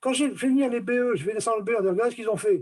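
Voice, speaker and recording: Against a quiet background, a man speaks at an extremely high pitch. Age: 70s. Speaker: retired company director. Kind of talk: casual discussion. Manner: animated.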